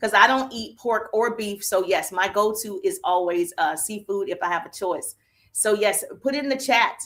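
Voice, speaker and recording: With a Southern US accent, a woman speaks in an animated tone at a moderate pace and fairly high pitch. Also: ordinary pitch variation. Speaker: business coach. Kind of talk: live stream chat. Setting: social media live stream.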